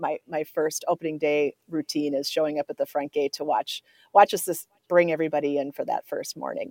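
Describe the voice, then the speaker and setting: A woman with an Upper Midwest accent, in a dry, close sound with no echo. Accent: Upper Midwest American. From Minnesota, Twin Cities north metro. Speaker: state fair executive. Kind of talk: radio interview. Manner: halting.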